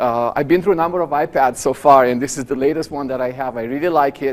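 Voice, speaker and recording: Someone with a Romanian accent talks at a very fast pace. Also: man. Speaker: professor. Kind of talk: lecture.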